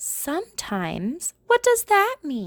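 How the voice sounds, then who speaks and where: Using a put-on character voice, a woman speaks at a very slow pace with a high pitch and very wide pitch swings. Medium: read story. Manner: polite, hesitant.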